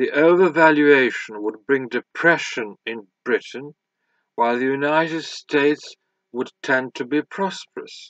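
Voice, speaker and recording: Recorded dry with no echo and a quiet background, a man talks at a fairly slow pace and a fairly high pitch. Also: ordinary pitch variation. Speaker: audiobook reader. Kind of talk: audiobook reading of a scholarly history text, read aloud. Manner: formal, measured, even-paced. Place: home room. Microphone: webcam.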